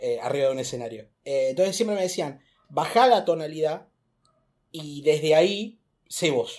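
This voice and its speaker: Animated in tone, a man speaks at a moderate pace and fairly high pitch, with lively intonation and long, frequent pauses. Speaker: stand-up comedian. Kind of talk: casual chat. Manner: loud, shouting.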